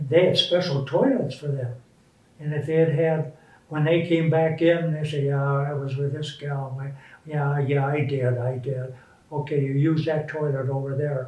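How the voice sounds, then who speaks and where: In an American accent, a man speaks at a moderate pace and fairly high pitch, his intonation monotone and flat. His voice is somewhat breathy, and audible room echo is present. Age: 80s+. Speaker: war veteran. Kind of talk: interview.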